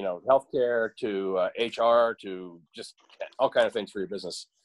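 Music plays in the background as a man speaks. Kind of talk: meeting announcements. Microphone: video call.

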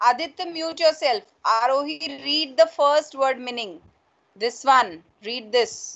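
The delivery is fairly slow, with big swings in loudness and lively intonation. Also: woman, high pitch for a woman, quiet background. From India. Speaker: school English teacher. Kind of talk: online class lesson. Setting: video call. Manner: code-switching Hindi and English. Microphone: video call.

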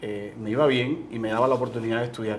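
Pitched in the medium range, a man's plain, everyday voice carries fairly even intonation. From Cuba. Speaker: entrepreneur, business owner. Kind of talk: interview.

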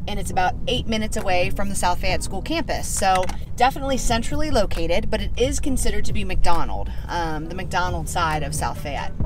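A woman talks at a fairly quick pace over clear background music, the sound dry with no echo. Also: hardly any pauses. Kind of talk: casual vlog chat. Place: car. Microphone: phone near.

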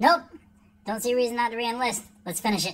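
A cartoonish character voice rattles along at a very fast pace. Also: woman. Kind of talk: comedic skit monologue. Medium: puppet show. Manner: crude, casual. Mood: deliberating, resigned.

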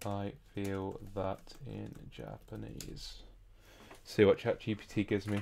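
A man's voice at a very slow pace, with big swings in loudness and light background noise. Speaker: language learner streamer. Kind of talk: live stream language study. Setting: live stream at home with chat. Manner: halting, frequent fillers. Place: home room. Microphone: studio mic.

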